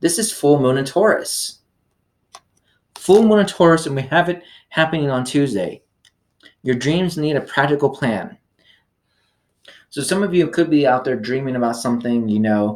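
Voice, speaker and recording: With long, frequent pauses, a man speaks at a moderate pace in a fairly high pitch, his intonation lively. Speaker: tarot reader. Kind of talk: tarot reading monologue. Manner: halting, stumbles over words; casual, many fillers.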